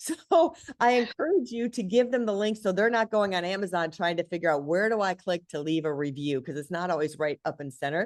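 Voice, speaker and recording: A woman's animated, fairly quick delivery at medium pitch, with lively intonation and hardly any pauses. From Michigan, US Midwest. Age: 60s. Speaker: book marketing expert. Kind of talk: online seminar presentation.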